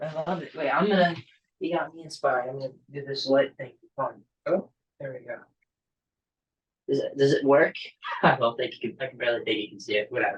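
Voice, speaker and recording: At a very fast pace broken by long, frequent pauses, a somewhat breathy man with a fairly high pitch speaks with ordinary pitch variation and big swings in loudness. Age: young. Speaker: musician and actor. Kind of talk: interview answer.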